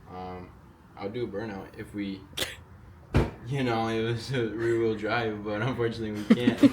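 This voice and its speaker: A man with a medium pitch talks at a moderate pace in a flat, monotone way, with long, frequent pauses and big swings in loudness. Room echo is audible, and background noise is noticeable. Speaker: car enthusiast YouTuber. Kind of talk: casual DIY car tutorial. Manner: casual, filler-heavy.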